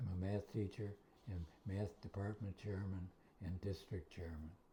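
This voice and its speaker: A man's fairly low, somewhat breathy voice with a dark, mellow tone and fairly even intonation. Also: moderate pace. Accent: American. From Western New York (Buffalo, Kenmore). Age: 80s+. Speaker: retired math teacher. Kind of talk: interview.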